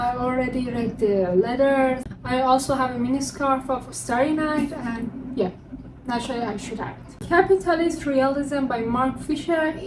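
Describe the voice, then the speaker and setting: Against noticeable background noise and audible room echo, a woman with a non-native accent speaks at a high pitch and a moderate pace. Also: ordinary pitch variation. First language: not English. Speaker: book vlogger. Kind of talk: casual chat.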